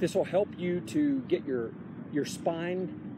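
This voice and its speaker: Man at a fairly slow pace, dry sound with no echo, noticeable background noise. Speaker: fitness instructor. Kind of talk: tutorial. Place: open country. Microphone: phone near.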